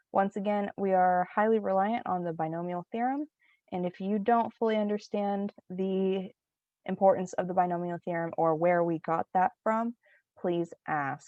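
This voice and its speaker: A normal speaking voice from a woman, moderate pace, ordinary pitch variation. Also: medium pitch for a woman. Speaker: student teacher. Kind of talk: lecture.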